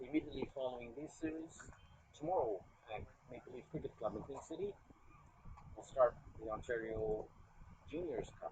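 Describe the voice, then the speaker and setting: A man with a Canadian accent talks at a fairly quick pace in a medium pitch, with lively intonation. His loudness swings widely, and he leaves long, frequent pauses. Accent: Canadian, described as bland. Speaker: cricket commentator. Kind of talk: live commentary. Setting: commentary booth.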